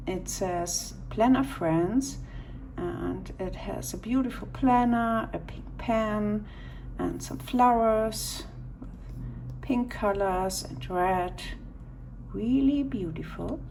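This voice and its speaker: A woman speaks at a very slow pace with long, frequent pauses and big swings in loudness, with audible room echo. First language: not English. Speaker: stationery YouTuber. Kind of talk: unboxing video. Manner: halting.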